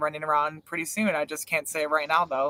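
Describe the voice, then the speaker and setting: A man's bright, sharp tone comes through in a dry, close sound with no echo. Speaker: online reality game show host. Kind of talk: live stream recap chat. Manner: casual, filler-heavy.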